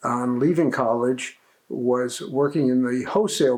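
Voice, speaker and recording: Speaking in a New Jersey accent, a man holds a medium pitch. His pitch varies in an ordinary way, and his pace is moderate. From New Jersey, Passaic. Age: 70s. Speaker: interviewee, family member. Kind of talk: interview.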